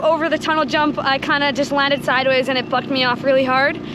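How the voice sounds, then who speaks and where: Very fast female speech against noticeable background noise. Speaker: motocross racer. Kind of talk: post-race interview. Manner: loud, clear enunciation.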